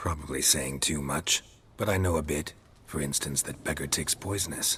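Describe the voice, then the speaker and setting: A man's put-on character voice, very deep and low in pitch, at a moderate pace. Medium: video game. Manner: terse, clipped, drops subjects.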